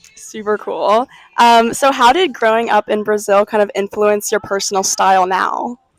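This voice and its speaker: A woman with an unremarkable speaking voice talks at a moderate pace in a fairly high pitch with fairly even intonation. The sound is dry and close, without echo. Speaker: podcast host. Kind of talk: podcast interview questions.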